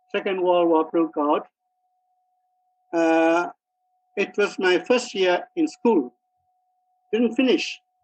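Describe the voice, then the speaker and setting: Very slowly and with a Burmese accent, a man talks at a high pitch with ordinary pitch variation. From Myanmar, Kyaukse near Mandalay. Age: 80s+. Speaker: retired mining engineer. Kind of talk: interview. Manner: halting, with many fillers.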